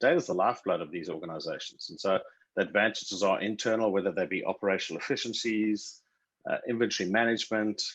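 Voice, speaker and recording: Speaking at a very fast pace, a man uses a South African accent. His pitch is fairly low, with ordinary variation. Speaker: tech company CEO. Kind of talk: interview.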